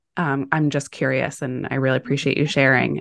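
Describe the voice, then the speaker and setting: The tone is warm and enthusiastic, set against a quiet background. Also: woman. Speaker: podcast host. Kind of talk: interview, intro scripted. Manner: warm, enthusiastic.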